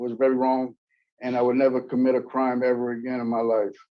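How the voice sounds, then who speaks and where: A man at medium pitch, speaking at a moderate pace in a monotone, flat intonation. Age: 60s. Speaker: prison inmate at parole hearing. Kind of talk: testimony. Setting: parole hearing. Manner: halting.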